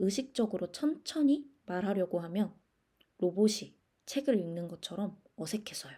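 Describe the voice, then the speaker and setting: At a fairly slow pace, a woman with a medium pitch and a dark, mellow, somewhat breathy tone lets her pitch swing very widely. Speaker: podcast host. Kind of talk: scripted solo podcast monologue. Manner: deliberately slowed, careful pace.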